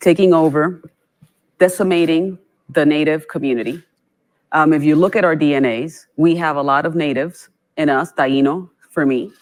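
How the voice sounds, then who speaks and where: On a very clean recording with a silent background, a woman with a Puerto Rican accent speaks at a very deep, low pitch with ordinary variation. She keeps a moderate pace with long, frequent pauses. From Puerto Rico. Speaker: nonprofit chief executive. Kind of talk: panel discussion. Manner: animated.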